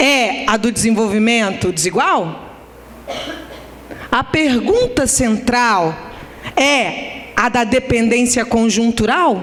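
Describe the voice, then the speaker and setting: Over noticeable background noise, a woman speaks very slowly in a high pitch with lively intonation. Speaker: academic lecturer. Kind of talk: conference lecture.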